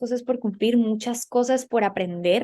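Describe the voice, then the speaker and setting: Delivered at a moderate pace with fairly even intonation, this is an ordinary speaking voice. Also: woman. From Colombia. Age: young. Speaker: political journalist. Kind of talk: interview.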